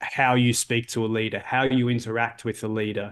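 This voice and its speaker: Against a quiet background, a man with an Australian accent speaks at a moderate pace and a medium pitch. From Australia, Melbourne. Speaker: leadership coach and author. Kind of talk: interview. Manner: hesitant, many fillers and repeats.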